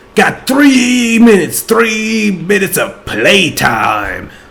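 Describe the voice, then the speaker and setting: Over noticeable background noise and audible room echo, a man talks at a very slow pace. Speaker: gaming YouTuber. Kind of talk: gameplay commentary. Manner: sometimes tongue-tied, blends words.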